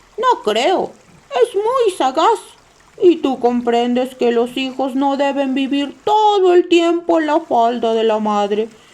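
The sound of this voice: A female-sounding voice, high-pitched and put on as a character, moves at a fairly slow pace.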